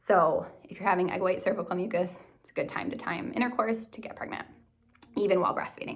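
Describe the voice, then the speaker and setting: Over noticeable background noise, a woman with a medium-pitched voice talks at a very fast pace, with ordinary pitch variation and big swings in loudness. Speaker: nurse practitioner and vlogger. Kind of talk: casual tutorial.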